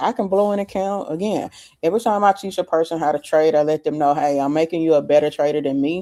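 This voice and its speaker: This voice carries an American accent. Nothing can be heard behind it, and the audio is very clean. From US South, Memphis, Tennessee. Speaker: options trading coach. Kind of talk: live trading stream. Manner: casual, conversational.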